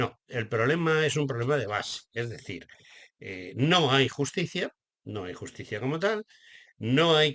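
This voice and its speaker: With a bright, sharp tone, a man speaks at a medium pitch and fairly slow pace. His pitch swings very widely. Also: very clean recording, silent background. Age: 70s. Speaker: radio host. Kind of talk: political commentary.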